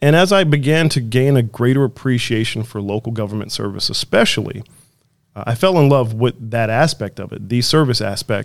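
A plain, everyday voice with an American accent, at a moderate pace with ordinary pitch variation. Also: man. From Chicago. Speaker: city manager. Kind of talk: interview.

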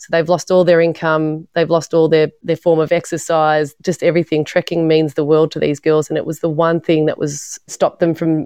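A woman's very deep, low-pitched voice with an Australian accent, at a fairly quick pace. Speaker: documentary filmmaker. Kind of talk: interview.

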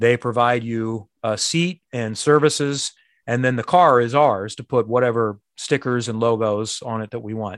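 Speaking at a moderate pace with a Midwestern American accent, a man with a medium-pitched voice and ordinary pitch variation is heard dry and close with no echo over a quiet background. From Indianapolis, Indiana. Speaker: sports broadcaster. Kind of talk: interview.

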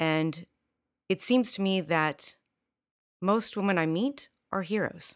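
A woman's delivery is very slow, broken by long, frequent pauses. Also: medium pitch for a woman, ordinary pitch variation. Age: 50s. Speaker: medical professor and researcher. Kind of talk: interview.

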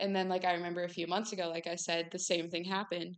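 A woman speaks with a Midwestern American accent. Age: 19. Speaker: podcast host. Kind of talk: casual faith talk monologue.

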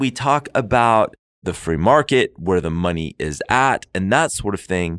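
A man talks in a normal speaking voice, with lively intonation at a fairly slow pace. The sound is dry and close with no echo, over a quiet background. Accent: American. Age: 40s. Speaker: lawyer and podcast co-host. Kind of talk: casual chat.

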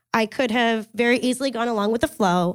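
A woman with a Canadian accent has an unremarkable speaking voice, fairly high in pitch, moving at a moderate pace with ordinary pitch variation in a dry, close sound with no echo on a very clean recording with a silent background. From Kingston, Ontario, Canada. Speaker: digital fundraising consultant. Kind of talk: storytelling talk. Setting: stage with audience.

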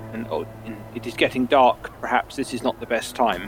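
There is noticeable background noise behind a man speaking. He keeps a moderate pace. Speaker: tabletop role-playing game player. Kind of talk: casual chat.

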